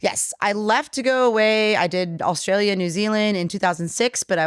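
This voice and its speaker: Her tone animated and her pitch variation ordinary, a woman speaks at a fairly quick pace on a very clean recording with a silent background. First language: Polish. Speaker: brewery co-owner. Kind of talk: casual chat.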